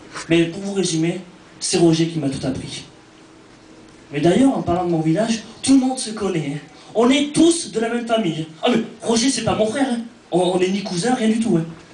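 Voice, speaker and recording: Pitched high, a man with an Auvergne accent speaks at a moderate pace with lively intonation and long, frequent pauses. Audible room echo and noticeable background noise fill the recording. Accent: French accent from Cantal. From France, Cantal (rural central France). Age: 20s. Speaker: stand-up comedian. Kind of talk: stand-up.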